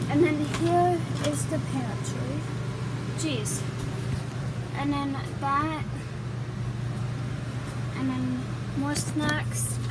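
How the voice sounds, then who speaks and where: A woman's very slow speech with long, frequent pauses over loud background noise. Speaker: vlogger giving a tour. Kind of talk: casual vlog chat. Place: home room. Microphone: phone near.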